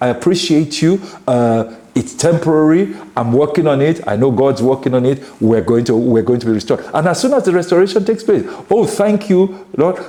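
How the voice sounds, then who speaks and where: A man speaks at a fairly high pitch and a fairly quick pace, his loudness very even and his pitch swinging very widely. Noticeable background noise sits under the voice. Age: 60s. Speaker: pastor. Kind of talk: casual chat. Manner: halting.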